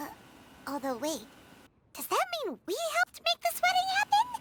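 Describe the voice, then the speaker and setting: In a put-on character voice, a female-sounding speaker squeaks at an extremely high pitch, going at a moderate pace. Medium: video game. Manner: refers to self in third person.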